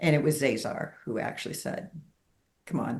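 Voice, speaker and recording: A woman's very deep, low, somewhat breathy voice at a moderate pace. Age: 70s. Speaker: spiritual healer sharing her story. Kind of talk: interview testimony.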